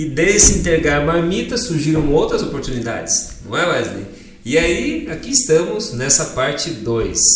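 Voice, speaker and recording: A man with a high voice swings very widely in pitch. Noticeable background noise and audible room echo fill the recording. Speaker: podcast host. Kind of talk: casual interview chat.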